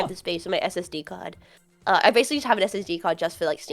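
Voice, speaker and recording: Over music in the background, a woman of medium pitch talks very fast with lively intonation. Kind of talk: broad, posh-sounding vowels.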